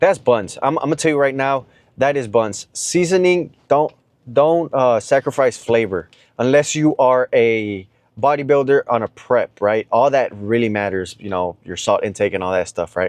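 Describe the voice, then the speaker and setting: A man speaks at a moderate pace and medium pitch with lively intonation. The sound is dry and close, with no echo. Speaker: fitness vlogger. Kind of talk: casual vlog talk to camera. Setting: gym. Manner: talkative.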